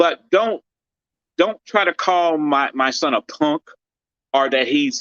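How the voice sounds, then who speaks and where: A man with an American accent speaks at a fairly slow pace in a high pitch, with a bright, sharp tone and lively intonation. The sound is dry and close, with no echo. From US inner city. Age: 60s. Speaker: boxer's father and boxing gym owner. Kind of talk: interview. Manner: animated.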